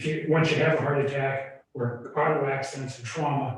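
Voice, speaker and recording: A man speaks in a somewhat breathy voice. Audible room echo surrounds him. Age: 60s. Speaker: yoga and wellness center owner. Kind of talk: public comment at town meeting. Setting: town board meeting. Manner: halting.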